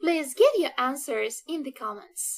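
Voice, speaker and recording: On a very clean recording with a silent background, a woman's high voice swings very widely in pitch. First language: Russian. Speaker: Russian language teacher. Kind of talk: language lesson. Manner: slow and clear, repeating phrases.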